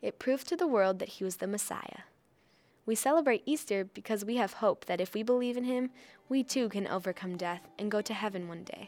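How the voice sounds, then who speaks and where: In an ordinary speaking voice, a woman with a fairly high pitch and ordinary pitch variation talks at a moderate pace. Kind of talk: kids' devotional introduction and questions. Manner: warm, simple and encouraging.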